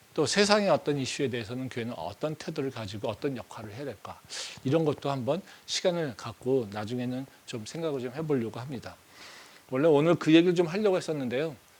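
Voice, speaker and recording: A man talks at a very fast pace with fairly high pitch. His intonation is lively, and his loudness swings widely. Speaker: pastor. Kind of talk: sermon.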